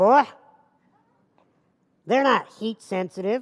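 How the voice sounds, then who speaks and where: At a moderate pace, someone performs a put-on character voice. Its pitch is fairly high. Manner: condescending, patronizing.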